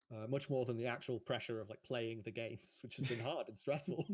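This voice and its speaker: A man speaks at a very fast pace with a somewhat breathy quality. His pitch sits in the medium range. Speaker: competitive card game player. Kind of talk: post-match interview.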